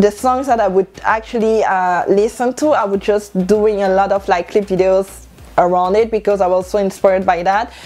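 A woman with a French accent at a moderate pace, hardly any pauses, very even loudness and fairly even intonation. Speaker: YouTuber and stylist. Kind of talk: casual vlog. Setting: home video. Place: home room. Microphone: lapel.

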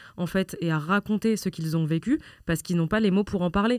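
On a very clean recording with a silent background, a woman with a fairly low pitch speaks at a fairly quick pace with fairly even intonation. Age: 20s. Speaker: children's rights activist. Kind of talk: conversational interview. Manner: hesitant, many fillers.

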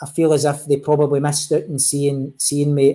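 A man with a Glaswegian accent, fairly high-pitched and fairly quick, in a monotone, flat delivery against a quiet background. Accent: Glaswegian Scottish. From Scotland, East End of Glasgow; Scotland. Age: 40s. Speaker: football referee; guest. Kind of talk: interview. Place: home room.

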